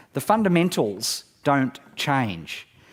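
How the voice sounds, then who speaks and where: In an Australian accent, the voice swings very widely in pitch on a very clean recording with a silent background. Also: man. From Australia, northeast Victoria. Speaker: marketing speaker. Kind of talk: conference talk. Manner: animated.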